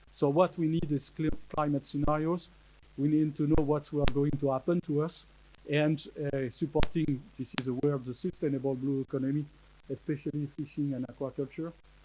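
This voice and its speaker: A man with a French accent speaks at a fairly quick pace in a fairly high pitch. His tone is dark and mellow, and his intonation is flat and monotone. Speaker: marine scientist speaker. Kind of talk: conference talk. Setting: conference with audience. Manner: halting, many hesitations.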